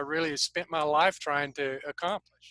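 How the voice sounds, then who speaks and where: A man speaks at a fairly high pitch with a bright, sharp tone. The sound is dry and close with no echo, in a very clean recording over a silent background. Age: 70s. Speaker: co-host, global ministry leader. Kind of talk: casual chat. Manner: halting.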